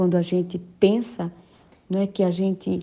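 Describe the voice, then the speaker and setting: A woman's medium-pitched voice, dark and mellow, flat and monotone, at a moderate pace against a quiet background. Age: 50s. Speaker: preacher. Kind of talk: sermon.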